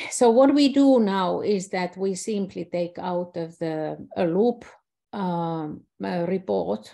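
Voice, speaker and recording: A woman with a Finnish accent speaks at a very slow pace in a fairly low pitch, her dark, mellow tone carrying lively intonation. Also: quiet background. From Finland. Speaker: systems scientist; presenter. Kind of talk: online presentation. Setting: video call. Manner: halting. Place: home room. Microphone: webcam.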